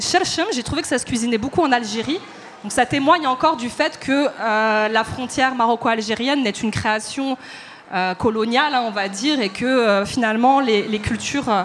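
Noticeable background noise sits behind a woman with a high pitch. She talks at a moderate pace with lively intonation. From Paris, of eastern Moroccan family. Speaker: dancer and choreographer. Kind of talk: panel discussion before live audience. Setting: stage with audience.

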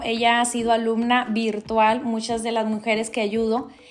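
Noticeable background noise behind a woman's fairly high-pitched voice at a moderate pace. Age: 40s. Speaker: life coach and podcast host. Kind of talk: motivational monologue. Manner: halting.

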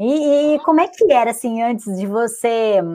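A woman with a normal speaking voice talks at a fairly slow pace with ordinary pitch variation. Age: 20s. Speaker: fitness and weight-loss coach, podcast host. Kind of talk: live-streamed interview.

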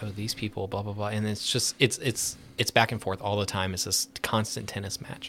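In an American accent, a man with a fairly low pitch and a normal speaking voice talks at a moderate pace. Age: 30s. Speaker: licensed professional counselor. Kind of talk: casual chat.

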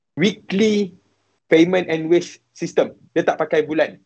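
Here a man talks at a very slow pace. His pitch is high. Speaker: university student studying abroad. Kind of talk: live-stream interview, sharing experience.

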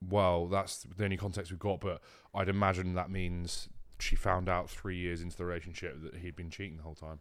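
A man's very deep, low voice with a British accent, monotone, flat intonation and big swings in loudness, on a very clean recording with a silent background. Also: fairly quick pace. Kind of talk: casual chat. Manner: relaxed, monotone.

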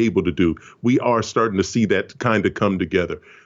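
A man with a plain, everyday voice, fairly low in pitch with ordinary pitch variation, at a fairly quick pace. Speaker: video game producer. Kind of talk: casual interview.

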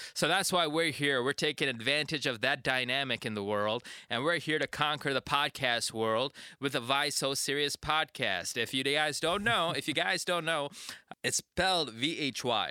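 A man's fairly high, bright and sharp voice at a moderate pace, with ordinary pitch variation and very even loudness, in a very clean recording with a silent background and a dry, close sound with no echo. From Indian heritage. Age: 20s. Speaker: podcast co-host. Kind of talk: casual chat. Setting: studio. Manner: animated.

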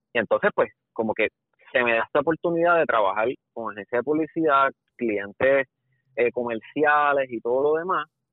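Slow-ish and fairly high for a man, this voice carries a Puerto Rican accent and ordinary pitch variation as he speaks at a fairly slow pace. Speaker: videographer. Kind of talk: casual chat.

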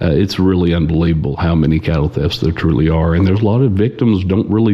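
With an Oklahoma accent, a man talks fairly quickly in a very deep, low pitch with ordinary pitch variation. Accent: Oklahoma rural US. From Oklahoma, Osage County. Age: 40s. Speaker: cattle theft investigator. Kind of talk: casual interview.

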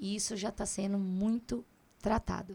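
A woman speaks at a fairly slow pace with a medium pitch and a dark, mellow tone. Her voice is somewhat breathy and her intonation fairly even. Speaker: reborn doll maker and shop owner. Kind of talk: interview.

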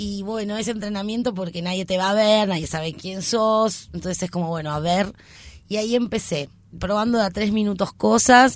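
A woman with an unremarkable speaking voice talks at a moderate pace and medium pitch, with ordinary pitch variation. The recording is very clean, with a silent background. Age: 30s. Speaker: comedian. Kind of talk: casual interview.

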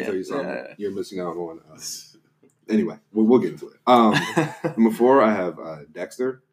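A man speaks at a moderate pace and medium pitch, with lively intonation. His loudness swings widely, and he takes long, frequent pauses. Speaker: podcast guest.

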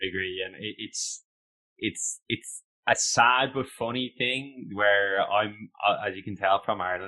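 Speaking at a fairly slow pace, a man with a fairly low pitch uses fairly even intonation and a bright, sharp tone. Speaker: podcast host. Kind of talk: interview.

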